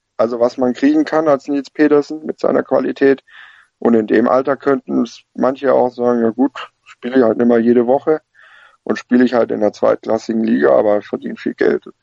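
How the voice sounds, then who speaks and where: The recording sounds dry and close, without echo. In it, a man speaks fairly quickly. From Lake Constance area, Germany. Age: 20s. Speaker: football fan pundit. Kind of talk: casual chat.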